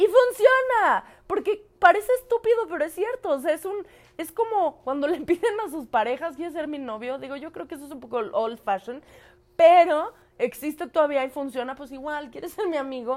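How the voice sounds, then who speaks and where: A woman talks with a high pitch at a moderate pace. Her pitch swings very widely, and her loudness rises and falls sharply. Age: 20s. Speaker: podcast co-host. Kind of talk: casual chat. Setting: studio with camera.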